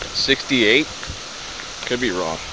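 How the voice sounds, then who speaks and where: At a fairly slow pace, the voice comes through in a dry sound with no echo over noticeable background noise. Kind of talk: casual vlog narration. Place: open country. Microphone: phone near.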